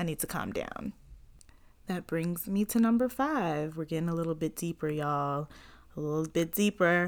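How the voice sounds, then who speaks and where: Heard in a very clean recording with a silent background, a woman uses a plain, everyday voice at a moderate pace, her fairly low pitch showing ordinary pitch variation. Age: 20s. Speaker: podcast host. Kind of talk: casual solo monologue. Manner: casual, filler-heavy.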